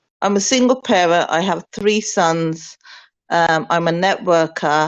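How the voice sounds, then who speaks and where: A fairly low-pitched woman with a Birmingham accent, speaking fairly slowly with ordinary pitch variation. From Birmingham, England. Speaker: network marketer. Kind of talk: testimony.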